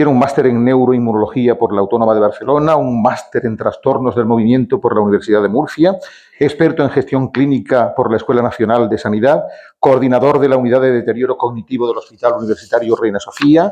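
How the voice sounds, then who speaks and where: A man with a dark, mellow tone talks at a very fast pace. His pitch is medium and his loudness very even. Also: ordinary pitch variation. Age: 60s. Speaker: event presenter at a veterans' club. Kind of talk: speaker introduction at a talk. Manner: reading a long bio from notes.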